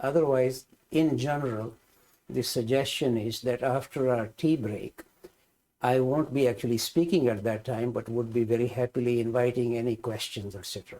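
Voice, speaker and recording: Speaking in an Indian accent, a man has a dark, mellow tone and fairly even intonation. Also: medium pitch for a man, moderate pace. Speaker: spiritual teacher, scholar. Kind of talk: lecture. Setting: hybrid class, in person and online.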